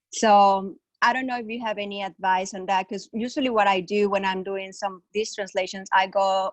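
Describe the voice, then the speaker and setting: Speaking with a Spanish accent, a woman uses a medium pitch and monotone, flat intonation in a dry, close sound with no echo. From Mexico. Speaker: webinar participant asking a question. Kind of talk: Q&A question. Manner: halting, many fillers.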